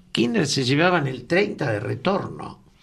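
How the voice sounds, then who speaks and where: A man talks at a fairly slow pace with a Rioplatense accent. His tone is bright and sharp. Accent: Rioplatense Spanish (porteño). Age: 70s. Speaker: radio talk show co-host. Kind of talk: political discussion on radio.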